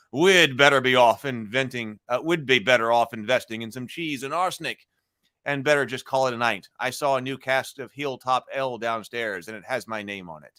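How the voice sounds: A man in a gravelly put-on character voice, medium pitch and moderate pace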